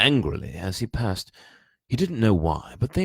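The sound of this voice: An unforced reading voice sounds over a quiet background.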